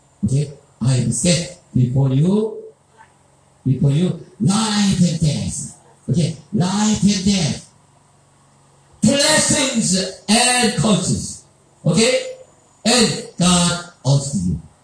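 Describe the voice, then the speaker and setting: Speaking at a very slow pace with very wide pitch swings and long, frequent pauses, a man is heard with audible room echo and light background noise. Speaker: preacher at a seminar. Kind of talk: sermon. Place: hall.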